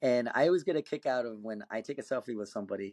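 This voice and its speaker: Medium-pitched with ordinary variation, a man speaks at a very fast pace. The sound is dry and close with no echo, over a quiet background. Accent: American. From South Texas, Rio Grande Valley. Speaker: competitive axe thrower and chiropractor. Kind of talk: casual podcast interview.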